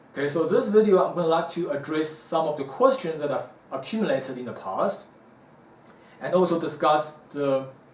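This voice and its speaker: A man's fairly high-pitched voice at a moderate pace with lively intonation, amid noticeable background noise and audible room echo. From South Africa. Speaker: martial arts teacher. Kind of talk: Q&A talk to camera. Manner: casual, hesitant fillers.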